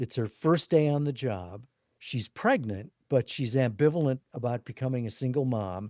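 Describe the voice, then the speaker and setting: In a very clean recording with a silent background, a man with an American accent speaks at a medium pitch in a dark, mellow tone. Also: ordinary pitch variation, moderate pace. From La Crosse, Wisconsin. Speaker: author and writing coach. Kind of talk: interview.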